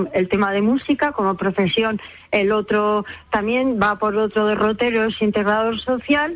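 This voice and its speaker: A woman's plain, everyday voice, fairly high in pitch, with ordinary pitch variation and a fairly slow pace. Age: 60s. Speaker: umbrella repairer. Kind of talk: radio interview.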